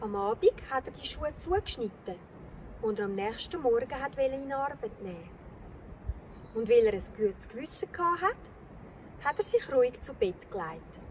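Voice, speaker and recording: A high-pitched woman with a Swiss accent and lively intonation at a moderate pace, with long, frequent pauses and noticeable background noise. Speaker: storyteller. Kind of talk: children's fairy tale reading.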